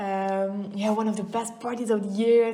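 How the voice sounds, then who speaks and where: Amid noticeable background noise and audible room echo, a woman with a fairly high pitch speaks in a Flemish accent with monotone, flat intonation. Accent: Flemish Dutch accent in English. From Belgium, East Flanders (Oudenaarde). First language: Dutch (Flemish). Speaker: goldsmith and distiller. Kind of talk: casual interview chat. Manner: hesitant, many fillers.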